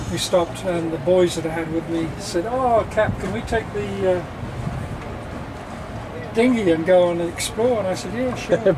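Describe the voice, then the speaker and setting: A man with a high voice talks at a moderate pace with lively intonation and long, frequent pauses. Noticeable background noise runs behind him. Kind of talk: casual storytelling. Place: boat.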